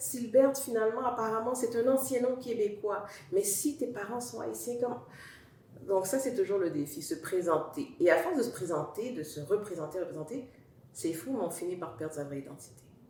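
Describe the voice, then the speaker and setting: A woman with a Montreal accent talks at a moderate pace and a medium pitch. Her pitch swings very widely, her loudness rises and falls sharply, and the room echo is audible. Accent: Montreal Quebec French. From Montreal, Quebec. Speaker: talk show guest. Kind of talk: interview testimony. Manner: hesitant, with fillers.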